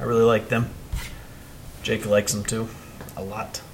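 There is noticeable background noise as a man with an American accent speaks at a moderate pace. His medium pitch stays in a monotone, flat intonation. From Ohio, US Midwest. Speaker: podcast co-host. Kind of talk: casual chat.

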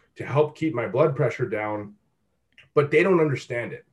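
A somewhat breathy man against a quiet background. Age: 20s. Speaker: fitness coach. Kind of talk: casual chat.

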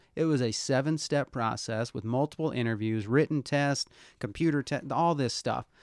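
A man's unremarkable speaking voice, medium in pitch with ordinary pitch variation, at a moderate pace, in a very clean recording with a silent background and a dry, close sound free of echo. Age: 40s. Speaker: podcast host. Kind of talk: casual interview chat.

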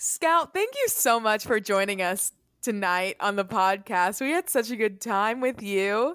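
A woman speaks at a fairly slow pace and fairly high pitch in an ordinary speaking voice. The recording is very clean, with a silent background. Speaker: podcast co-host. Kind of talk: casual comedic chat.

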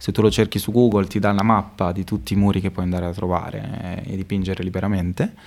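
Very fast speech from a man with a very deep, low pitch and fairly even intonation, on a very clean recording with a silent background. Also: hardly any pauses. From Modena, Emilia-Romagna, Italy. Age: 20s. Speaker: street artist and illustration teacher. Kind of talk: casual interview chat. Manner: hesitant, many fillers.

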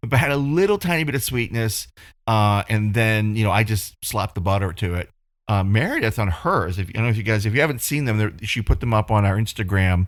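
Speaking fairly quickly in a normal speaking voice, a man with fairly low pitch uses ordinary pitch variation. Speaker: podcast co-host. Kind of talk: casual chat. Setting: video call.

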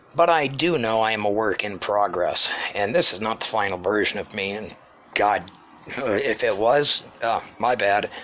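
A man speaks at a moderate pace with a fairly low pitch and ordinary pitch variation. Noticeable background noise is present. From New Hampshire. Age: 30s. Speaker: podcast host, storyteller. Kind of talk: personal storytelling monologue. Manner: unscripted, halting with fillers.

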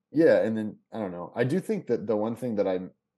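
Against a quiet background, a man speaks at a fairly quick pace in a dark, mellow tone. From Kentucky. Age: 30s. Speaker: comedian and actor, former hardcore musician. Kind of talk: casual chat. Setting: video call.

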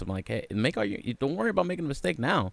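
Lively in intonation, a man at medium pitch talks at a very fast pace. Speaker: podcast host and DJ. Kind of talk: casual interview. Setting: video call. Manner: halting, many fillers.

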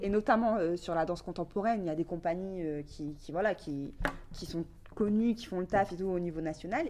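A woman's fairly low, dark and mellow voice, fairly quick in pace, with ordinary pitch variation. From northern France, Valenciennes area. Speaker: hip-hop dancer and media founder. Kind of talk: casual interview.

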